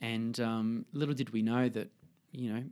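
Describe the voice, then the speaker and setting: A man talks at a moderate pace with an Australian accent, in a flat monotone. The recording is very clean, with a silent background. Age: 30s. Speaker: fashion designer. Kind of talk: casual interview. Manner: halting.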